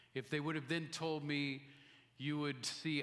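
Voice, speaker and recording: Audible room echo hangs around speech delivered at a moderate pace. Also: man. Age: 60s. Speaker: missionary. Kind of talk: sermon. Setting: church.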